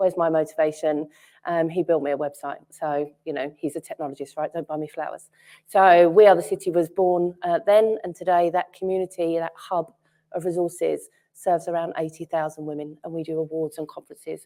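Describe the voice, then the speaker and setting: In a strong Cockney accent, a woman speaks fairly quickly with a fairly low pitch and a dark, mellow tone, her volume rising and falling sharply. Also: fairly even intonation. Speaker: entrepreneur, panelist. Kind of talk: panel discussion. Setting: stage with audience.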